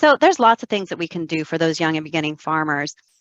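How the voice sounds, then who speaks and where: With an enthusiastic tone and lively intonation, a woman talks over a quiet background in a dry sound with no echo. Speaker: credit analyst. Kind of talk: webinar discussion. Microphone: video call.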